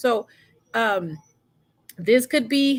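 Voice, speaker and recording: Here a woman speaks with a fairly high pitch. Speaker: livestream host. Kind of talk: casual livestream monologue. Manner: fast.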